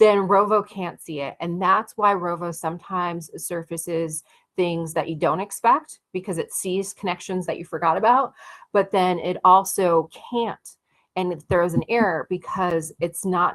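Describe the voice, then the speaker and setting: This woman has an ordinary speaking voice, fairly low in pitch, with ordinary pitch variation. She talks at a fairly slow pace over a quiet background. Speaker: workshop presenter on AI tools. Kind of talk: online workshop presentation. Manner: many fillers and restarts.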